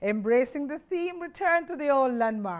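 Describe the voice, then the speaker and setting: A woman speaks in a high voice with very wide pitch swings against a quiet background. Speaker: church broadcast announcer. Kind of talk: broadcast announcements. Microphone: lapel.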